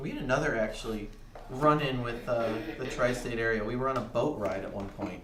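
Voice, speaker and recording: A man with an American accent talks at a fairly quick pace in a medium pitch with fairly even intonation, with noticeable background noise and audible room echo. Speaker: cooking show co-host. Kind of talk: casual chat.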